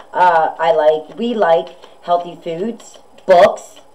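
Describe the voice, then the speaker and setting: Noticeable background noise sits under a woman's voice. Her pitch is fairly low, with ordinary pitch variation. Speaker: tarot reader. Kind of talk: casual tarot reading monologue. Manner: loud.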